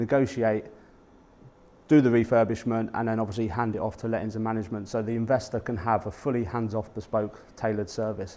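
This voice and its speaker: A man's medium-pitched voice at a very fast pace. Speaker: property investor and podcast host. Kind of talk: presentation talk to a networking audience. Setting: live talk to an audience at a meetup. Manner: conversational, informal.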